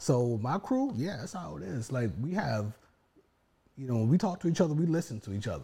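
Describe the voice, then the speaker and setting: A man with a dark, mellow tone talks in a somewhat breathy way, his pitch swinging very widely. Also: medium pitch for a man, fairly quick pace. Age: 40s. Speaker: podcast co-host, divorced and remarried husband. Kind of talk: casual chat.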